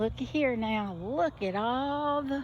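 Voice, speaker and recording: Her voice is somewhat breathy. The woman talks in an American accent. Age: 70s. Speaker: gardening vlogger. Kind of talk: casual walkthrough vlog. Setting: outdoors in garden. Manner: halting, with pauses.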